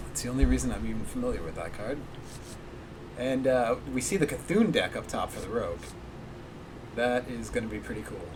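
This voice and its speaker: At a fairly quick pace, a man speaks with long, frequent pauses and big swings in loudness. Noticeable background noise and audible room echo fill the recording. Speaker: esports caster. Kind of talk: live commentary. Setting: livestream at home. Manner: quiet. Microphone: too quiet.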